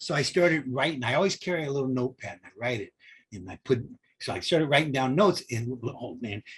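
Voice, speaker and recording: A man with an American accent talks at a very fast pace, with lively intonation and an animated tone. His voice is medium in pitch, somewhat breathy, and swings widely in loudness. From Southern California. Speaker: film grip and author. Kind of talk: interview storytelling. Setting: podcast.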